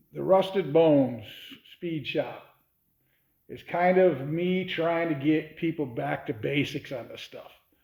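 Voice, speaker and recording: A plain, everyday voice from a man, fairly high in pitch and fairly slow, with ordinary pitch variation and big swings in loudness. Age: 60s. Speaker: hot rod shop owner. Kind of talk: casual talk to camera.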